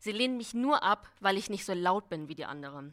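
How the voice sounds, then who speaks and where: A woman with an ordinary speaking voice talks at a moderate pace and medium pitch. Her intonation is lively, and the recording is very clean with a silent background. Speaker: writing competition participant. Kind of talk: reading aloud. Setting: stage with audience.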